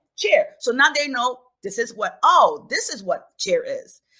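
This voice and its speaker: Speaking with a Haitian accent, a woman has a bright, sharp tone and very wide pitch swings. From Haiti, raised in New York City. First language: Haitian Creole. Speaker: children's book author and teacher. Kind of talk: podcast interview.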